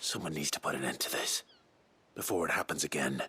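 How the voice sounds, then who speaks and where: A man's put-on character voice, very deep and very fast, with a dry, close sound and no echo. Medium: video game. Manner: restrained, low and measured.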